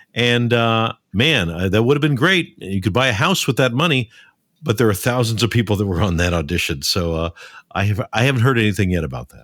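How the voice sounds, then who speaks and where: Intonation here is lively. Delivery comes at a fairly quick pace. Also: man, medium pitch for a man. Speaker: voiceover actor and coach. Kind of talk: casual interview. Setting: video or remote call. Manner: halting, filler-heavy.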